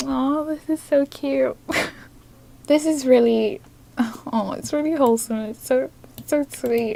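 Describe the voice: A woman speaks slowly at a high pitch, with a dark, mellow tone, vocal fry and ordinary pitch variation.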